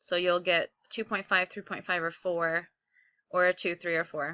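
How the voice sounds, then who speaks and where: A woman's medium-pitched, upbeat voice, bright and sharp in tone, with a dry, close sound and no echo. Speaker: middle school teacher. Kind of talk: recorded classroom instruction video. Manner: fast; casual, upbeat.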